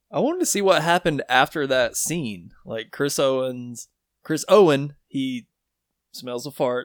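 Recorded very cleanly with a silent background, a man speaks at a fairly slow pace in a plain, everyday voice. His pitch is fairly high with ordinary variation, and the sound is dry and close with no echo. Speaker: podcast co-host. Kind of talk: casual chat.

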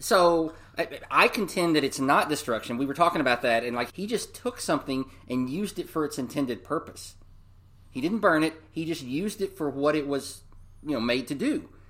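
Lively intonation and a fairly quick pace mark an unremarkable speaking voice, captured in a very clean recording with a silent background. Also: man, fairly high pitch for a man. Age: 40s. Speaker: podcast co-host. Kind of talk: casual chat.

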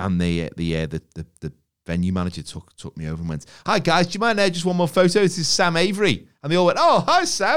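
In an English accent, a man talks at a very fast pace in an animated tone with very wide pitch swings. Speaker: podcast co-host. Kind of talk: casual chat.

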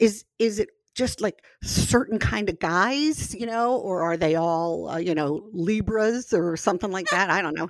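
A woman with an ordinary speaking voice keeps a middle pitch and a medium tempo, her intonation lively. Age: 60s. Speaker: host's mother, guest. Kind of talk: casual chat.

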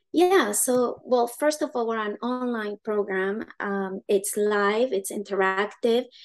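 In a Spanish accent, a woman talks at a fairly slow pace and a medium pitch. Her intonation stays fairly even against a quiet background. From Uruguay. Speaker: education founder, homeschool mother. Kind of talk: interview.

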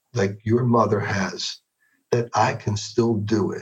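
Here a man talks at a very slow pace. His medium-pitched voice is somewhat breathy, with ordinary pitch variation. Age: 60s. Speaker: executive coach. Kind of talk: interview conversation.

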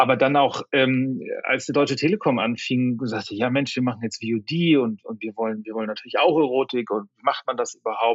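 A man talks at a moderate pace with hardly any pauses. His medium pitch shows ordinary pitch variation. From northern Germany, Flensburg. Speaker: media company executive. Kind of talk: interview. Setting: remote call. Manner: halting, many fillers.

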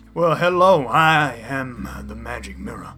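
A raspy put-on character voice from a man, medium in pitch, at a fairly slow pace. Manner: theatrical, performed voice.

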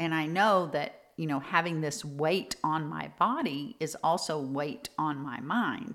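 A woman's very deep, low voice, warm and animated, with lively intonation at a fairly slow pace. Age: 50s. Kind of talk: motivational podcast talk. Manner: warm, animated.

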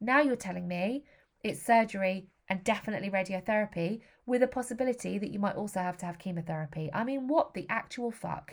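Talking at a very fast pace, a woman with an English accent uses a medium pitch with ordinary pitch variation. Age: 40s. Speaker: podcast host. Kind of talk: personal monologue.

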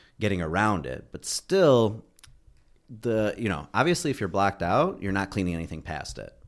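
A plain, everyday voice from a man at a fairly low pitch, moderate pace, and lively intonation, on a very clean recording with a silent background. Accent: American. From Michigan, Detroit area. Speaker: endodontist. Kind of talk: casual chat.

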